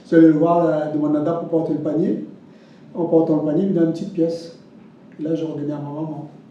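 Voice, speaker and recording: Over noticeable background noise and audible room echo, a man talks at a very fast pace. His delivery is monotone and flat, broken by long, frequent pauses. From Réunion (Saint-Denis, Saint-André, Sainte-Suzanne). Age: 70s. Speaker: interviewee sharing life memories. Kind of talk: testimony. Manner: halting.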